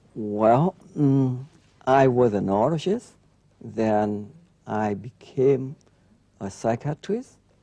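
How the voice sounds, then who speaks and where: With a dark, mellow tone, a man talks at a very slow pace, leaving long, frequent pauses, with ordinary pitch variation. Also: medium pitch for a man. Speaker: neurologist. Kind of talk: interview. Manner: halting.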